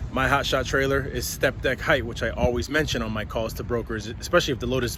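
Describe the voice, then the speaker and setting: A man talks at a very fast pace. Noticeable background noise runs under him. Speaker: hotshot truck driver and trucking vlogger. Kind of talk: casual vlog tutorial. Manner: halting with fillers and repeats.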